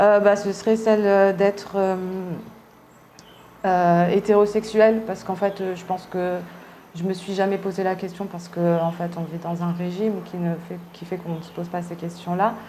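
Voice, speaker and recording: The speaker uses monotone, flat intonation with long, frequent pauses and big swings in loudness. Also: woman, medium pitch for a woman, moderate pace. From Réunion, raised from early childhood after Paris suburbs. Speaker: artist interviewee. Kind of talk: interview testimony. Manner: halting, many hesitations.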